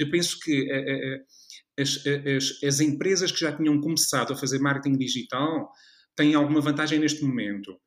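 A man with a European Portuguese accent speaks at a moderate pace in a fairly high voice, with very even loudness and fairly even intonation. He takes long, frequent pauses. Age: 40s. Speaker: marketing lecturer and consultant. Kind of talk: interview. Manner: halting.

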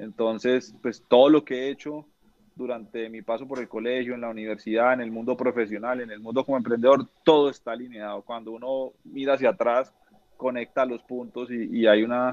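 A fairly quick pace, monotone, flat intonation and big swings in loudness. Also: man, medium pitch for a man. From Colombia, Neiva, Huila. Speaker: entrepreneur, finance company founder. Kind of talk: casual interview chat. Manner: halting, many repetitions and fillers.

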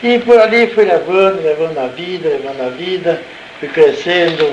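Audible room echo, noticeable background noise, and a man speaking fairly slowly. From Brazil, Salto (São Paulo state). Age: 70s. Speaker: retired nurse and former local councillor. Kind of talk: oral history interview.

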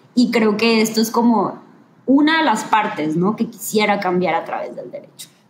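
A woman speaks at a moderate pace with a fairly high pitch and ordinary pitch variation over noticeable background noise. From northern Mexico, Ciudad Victoria, Tamaulipas. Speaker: lawyer and gender equity specialist. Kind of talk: live-streamed interview.

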